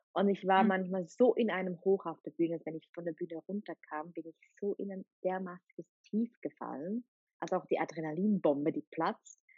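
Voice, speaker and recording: A woman at medium pitch in a plain, everyday voice, fairly quick, with ordinary pitch variation and big swings in loudness. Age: young. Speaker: podcast host and coach. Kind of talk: casual interview.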